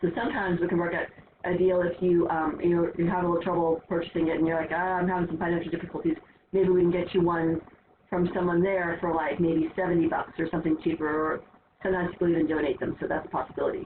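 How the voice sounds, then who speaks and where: Very fast and monotone, a woman talks with flat intonation at a fairly low pitch. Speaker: math teacher. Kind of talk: lecture. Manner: casual, filler-heavy.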